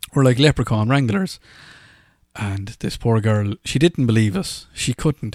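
A man with an Irish accent is heard in a very clean recording with a silent background and a dry, close sound free of echo. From Ireland. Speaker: podcast host. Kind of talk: casual storytelling monologue. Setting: solo podcast, no guests. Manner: casual, chatty, humorous.

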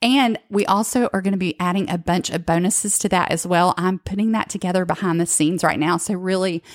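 A plain, everyday voice from a woman with an American accent, medium pitch and ordinary pitch variation, at a fairly quick pace with hardly any pauses and very even loudness, dry and close with no echo, on a very clean recording with a silent background. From northwestern Georgia, US South. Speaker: podcast host. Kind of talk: casual chat with co-host, plus sales pitch.

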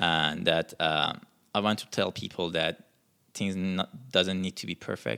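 A man speaks in a very deep, low voice with an Iranian accent. His pace is fairly slow, with ordinary pitch variation. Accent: Persian (Iranian). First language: Persian. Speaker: musician. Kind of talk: interview. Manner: halting.

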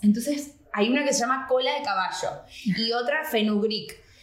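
Noticeable background noise and audible room echo surround the recording. A woman speaks at a fairly slow pace with a high pitch and lively intonation. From Argentina, raised in Miami. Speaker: actress, journalist and entrepreneur. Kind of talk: casual chat.

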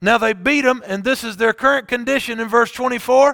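With a raised, projected voice, a man speaks at an extremely high pitch in a bright, sharp tone with fairly even intonation, the sound dry and close with no echo on a very clean recording with a silent background. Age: 40s. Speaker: pastor. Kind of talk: sermon.

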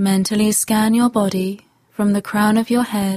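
The voice is dark, mellow, gentle, calm, and somewhat breathy, moving at a fairly slow pace in a flat monotone with a dry, close sound and no echo. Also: woman. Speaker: meditation guide. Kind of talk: guided meditation. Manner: slow, calm, soothing; gentle, long pauses between instructions.

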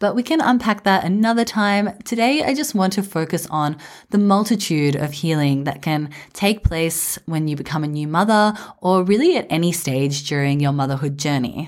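A woman's fairly low voice with an Australian accent, lively intonation and a moderate pace, in a very clean recording against a silent background. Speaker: podcast host for mothers. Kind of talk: reflective monologue. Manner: warm, calm.

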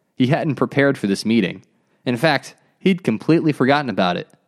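An unforced reading voice over a quiet background.

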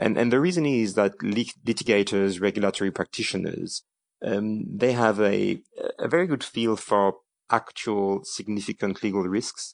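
A man speaks with a French accent at a fairly low pitch. The sound is dry and close, with no echo. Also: ordinary pitch variation, moderate pace, quiet background. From France. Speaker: corporate general counsel. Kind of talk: interview. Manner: halting, with frequent repetitions.

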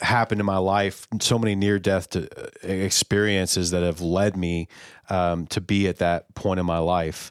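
On a very clean recording with a silent background, a man with an American accent speaks very deep and low, fairly slowly, with fairly even intonation. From Texas, Houston area. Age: 30s. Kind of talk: testimony in casual podcast chat. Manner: halting, many fillers.

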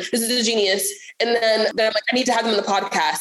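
Over noticeable background noise, a woman speaks very fast at a fairly high pitch. Her tone is intense and passionate. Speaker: podcast host. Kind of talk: casual chat. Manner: intense, passionate delivery.

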